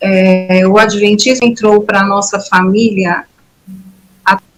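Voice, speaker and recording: Her medium-pitched voice stays in a monotone, flat intonation as a woman speaks at a very slow pace. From São Paulo city, Brazil. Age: 60s. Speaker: former church member giving testimony. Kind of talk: testimony.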